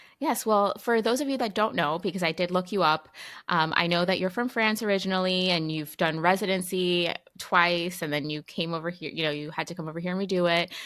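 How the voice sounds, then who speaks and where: A woman speaks in an unremarkable speaking voice with a fairly low pitch and ordinary pitch variation. Her pace is fairly quick, in a very clean recording with a silent background. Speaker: physician, podcast host. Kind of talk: podcast interview questions.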